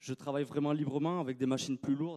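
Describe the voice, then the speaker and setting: A man's medium-pitched voice with a dark, mellow tone and a dry, close sound with no echo. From France, Landes (southwest). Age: 20s. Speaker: groundsman. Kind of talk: conference talk. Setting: stage with audience. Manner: halting, many hesitations.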